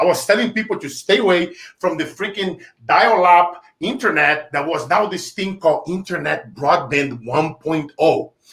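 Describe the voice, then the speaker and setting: In a Brazilian Portuguese accent, a high-pitched man talks in an animated tone at a moderate pace with ordinary pitch variation. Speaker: entrepreneur, sales trainer. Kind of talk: interview, storytelling. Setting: live stream interview.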